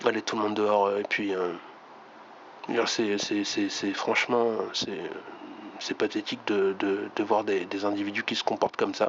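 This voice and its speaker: A man speaks in a monotone, flat delivery with long, frequent pauses. Noticeable background noise sits behind him. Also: fairly low pitch for a man, moderate pace. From France, Reims. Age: 50s. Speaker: YouTuber. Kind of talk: video monologue. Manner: halting, many fillers.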